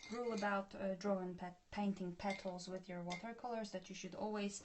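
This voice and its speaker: The speaker has a Polish accent and ordinary pitch variation. The voice is somewhat breathy. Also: woman. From Poland. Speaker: art tutor. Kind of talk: tutorial. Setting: live stream.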